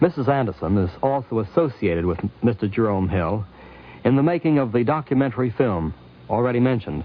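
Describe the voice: A man's medium-pitched voice, fairly quick and lively, with few pauses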